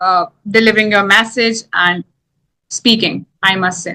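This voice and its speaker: In an Indian accent, a woman talks with a bright, sharp tone and fairly even intonation. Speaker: English teacher. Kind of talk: casual chat.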